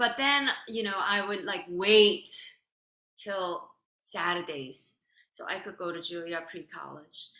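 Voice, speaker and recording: A woman with a Korean accent talks at a very slow pace. Her tone is bright and sharp, with lively intonation. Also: medium pitch for a woman. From South Korea. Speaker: violin soloist. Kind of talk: interview.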